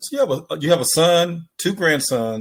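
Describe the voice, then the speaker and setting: In a Mississippi accent, a man talks at a fairly slow pace with lively intonation. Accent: Southern US (Mississippi). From US South. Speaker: podcast host. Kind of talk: casual chat.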